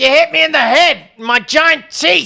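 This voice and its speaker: The voice is a put-on character voice. It is high-pitched and keeps a moderate pace. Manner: annoyed, comedic.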